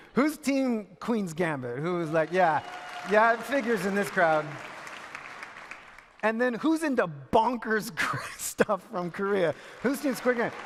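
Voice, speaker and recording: With crowd noise in the background, a man speaks in a playful tone at a high pitch, his pitch swinging very widely. He moves at a fairly slow pace, with long, frequent pauses. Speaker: spoken word poet and keynote speaker. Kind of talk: conference keynote opening, casual audience banter. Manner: playful, conversational, humorous.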